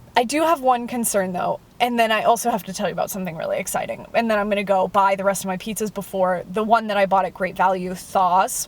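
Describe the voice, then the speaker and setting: Very fast speech from a woman, with noticeable background noise behind it. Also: medium pitch for a woman, ordinary pitch variation, hardly any pauses. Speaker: food reviewer vlogger. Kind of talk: casual vlog monologue. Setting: in a car. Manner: sounds sarcastic or disinterested; loud.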